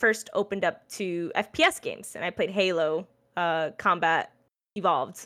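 Bright and sharp in tone, a woman talks at a moderate pace and medium pitch with ordinary pitch variation. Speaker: streamer and esports caster. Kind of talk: casual chat. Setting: video call.

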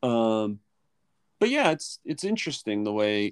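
In a Mid-Atlantic accent, a man talks at a moderate pace, the recording dry and close with no echo. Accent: American, Mid-Atlantic. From US, Philadelphia suburbs. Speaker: English teacher. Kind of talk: casual interview chat.

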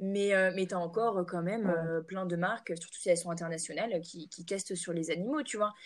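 A woman speaks in an ordinary speaking voice at medium pitch, with ordinary pitch variation, a fairly quick pace and hardly any pauses. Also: big swings in loudness. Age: 20s. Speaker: entrepreneur, natural cosmetics brand founder. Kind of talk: casual interview chat.

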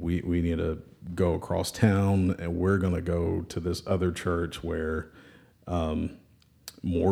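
In a Southern US accent, a man with a very deep, low pitch and a dark, mellow tone speaks in a flat monotone. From Alabama, Birmingham. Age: 30s. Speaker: church member and parent. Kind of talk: casual chat.

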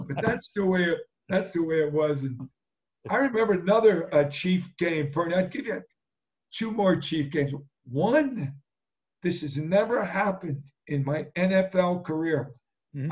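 A man with a New Jersey accent, high-pitched for a man, at a fairly slow pace, lively in intonation, with long, frequent pauses. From New Jersey (Jersey Shore). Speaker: retired pro football player. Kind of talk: interview.

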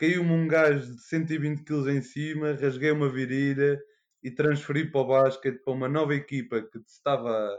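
This man has an ordinary speaking voice at medium pitch, moving at a moderate pace with fairly even intonation. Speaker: veterinary student. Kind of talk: casual chat.

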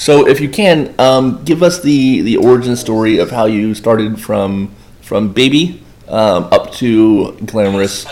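A man with an American accent and lively intonation, over noticeable background noise. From Florida, Boynton Beach. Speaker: podcast host, pool safety business owner. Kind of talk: casual interview.

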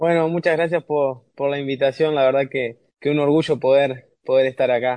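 A man's fairly high voice with monotone, flat intonation, a moderate pace and hardly any pauses. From Uruguay. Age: 20s. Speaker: rower. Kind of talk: interview.

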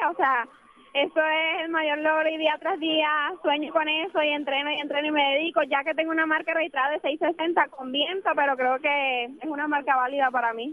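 A woman speaks at a high pitch and a moderate pace. Her intonation is fairly even. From Venezuela. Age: 20s. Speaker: university sprinter. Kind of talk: radio interview. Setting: on location at a track meet.

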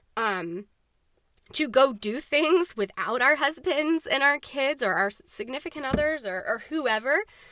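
A woman with a high pitch uses a raised, projected voice, very wide pitch swings and a fairly slow pace. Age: 30s. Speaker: podcast host. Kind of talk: casual solo monologue. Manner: rambling, many fillers.

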